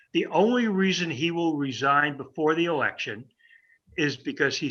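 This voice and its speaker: A man with an American accent, fairly high pitch and lively intonation, at a moderate pace against a quiet background. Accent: New York, slight, comes out occasionally. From New York. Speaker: political pundit. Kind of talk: political talk with Q&A.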